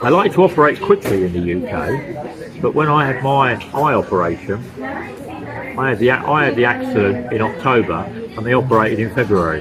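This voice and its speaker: The speech has very wide pitch swings at a moderate pace. Music plays in the background, and room echo is audible. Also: man, medium pitch for a man. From UK. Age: 60s. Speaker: vlogger, retired expat. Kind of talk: casual vlog monologue. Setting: eating lunch while filming. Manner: casual, conversational.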